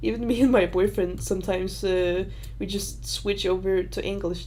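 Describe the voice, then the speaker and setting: The speaker is a woman. Her voice carries an audible echo from the room. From Denmark. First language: Danish. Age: 20s. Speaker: YouTuber. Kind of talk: livestream Q&A. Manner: halting.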